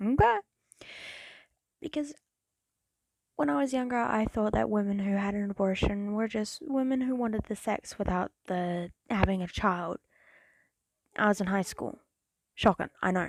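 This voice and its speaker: Recorded very cleanly with a silent background and a dry, close sound with no echo, a woman speaks at a moderate pace and medium pitch, with ordinary pitch variation and long, frequent pauses. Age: 20s. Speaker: reaction youtuber. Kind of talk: reaction commentary. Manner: animated.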